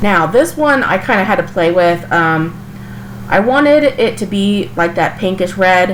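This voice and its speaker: A woman speaks with lively intonation against noticeable background noise. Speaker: craft channel host. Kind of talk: DIY tutorial voice-over. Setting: recorded in a kitchen. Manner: casual, chatty.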